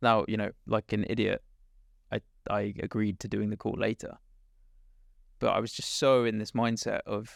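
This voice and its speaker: A man with an English accent at a moderate pace, with long, frequent pauses and a dry, close sound with no echo. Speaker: startup co-founder. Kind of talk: interview. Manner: loud.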